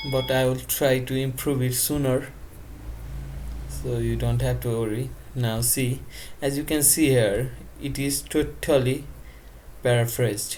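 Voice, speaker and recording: Speaking with a non-native accent at a fairly slow pace, the voice leaves long, frequent pauses amid audible room echo. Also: man. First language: not English. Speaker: tech tutorial youtuber. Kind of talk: tutorial. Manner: casual.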